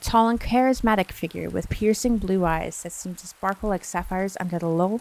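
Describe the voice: Simple reading of a text aloud.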